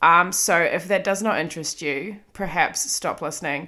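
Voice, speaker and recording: Bright and sharp in tone, a woman talks at a moderate pace with ordinary pitch variation and a slight New Zealand accent. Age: 30s. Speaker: podcast host. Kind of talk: solo monologue, casual personal storytelling. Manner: casual, self-deprecating, swearing.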